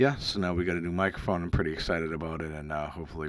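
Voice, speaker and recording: The man's pitch is very deep and low, with ordinary variation. He speaks with an American accent. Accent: Boston-area accent, remarked on by a viewer. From Massachusetts, near Boston. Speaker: retro video game YouTuber. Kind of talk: casual video commentary. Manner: halting, many fillers. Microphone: new microphone.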